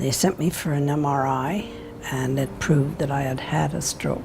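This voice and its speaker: Speech at a moderate pace carries audible room echo and noticeable background noise. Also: woman. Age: 80s+. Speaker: stroke patient. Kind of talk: testimony. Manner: halting.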